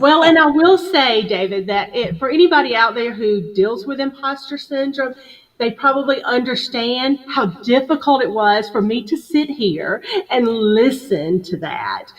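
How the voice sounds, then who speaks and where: A woman with a Southern US accent speaks high-pitched at a fairly slow pace, her intonation lively. Noticeable background noise runs behind her. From US South, upstate South Carolina (Greenville). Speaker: HR business founder, guest speaker. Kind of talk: interview on live video show.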